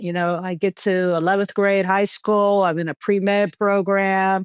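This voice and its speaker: A woman with an American accent and an ordinary speaking voice, medium pitch, fairly slow pace, and a quiet background. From New York City, Queens. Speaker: retired army general and physician. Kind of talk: podcast interview.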